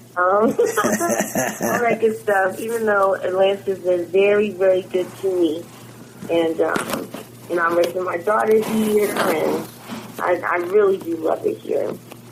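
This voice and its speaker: Over noticeable background noise, a woman speaks with an American accent at a medium pitch. Her pace is fairly slow and her pitch varies in an ordinary way. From Philadelphia suburbs, Pennsylvania. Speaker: musician. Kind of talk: interview.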